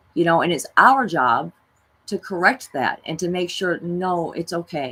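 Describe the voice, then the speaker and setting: Using a normal speaking voice, a woman talks at a moderate pace and a fairly low pitch. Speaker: spiritual self-help vlogger. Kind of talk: monologue talk.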